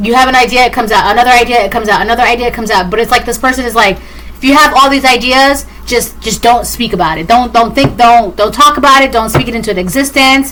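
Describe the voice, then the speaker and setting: Over music in the background, a woman talks very fast at a fairly high pitch with ordinary pitch variation. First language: Spanish. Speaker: tarot reader. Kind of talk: collective tarot reading monologue. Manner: fast, repetitive.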